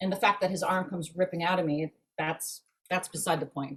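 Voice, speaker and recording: A woman speaks at a fairly quick pace with a fairly low pitch. Her voice is somewhat breathy. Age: 60s. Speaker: actress. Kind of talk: casual chat. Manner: animated.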